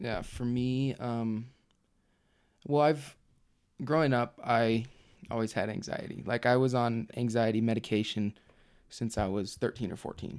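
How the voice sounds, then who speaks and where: Speaking at a fairly slow pace, this is an unremarkable speaking voice. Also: man, medium pitch for a man. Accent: American. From Utah. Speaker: nursing student, returned missionary. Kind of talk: casual interview, personal story.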